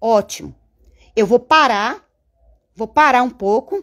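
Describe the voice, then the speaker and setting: Over a quiet background, a woman speaks at a fairly slow pace with lively intonation. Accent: Bahian. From interior of Bahia, Brazil. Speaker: bow-making artisan and craft YouTuber; craft YouTuber. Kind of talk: live-stream craft tutorial and chat. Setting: home studio. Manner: animated, chatty. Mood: animated, venting at times. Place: workshop. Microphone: phone near.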